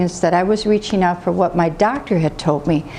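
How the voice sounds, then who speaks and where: A woman talks at a moderate pace in a medium pitch. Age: 60s. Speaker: patient giving testimonial, medical field worker. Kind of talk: testimony. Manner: halting.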